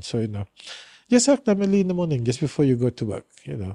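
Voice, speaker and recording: Dry and close with no echo, a man's dark, mellow voice swings very widely in pitch against a quiet background. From Brunei. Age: 60s. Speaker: historian. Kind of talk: casual chat.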